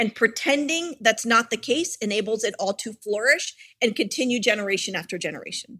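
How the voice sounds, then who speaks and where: A woman with an American accent talks in an ordinary speaking voice at a fairly high pitch, fairly quick and with lively intonation. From Richmond, Virginia, US. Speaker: anti-racism activist. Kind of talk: interview.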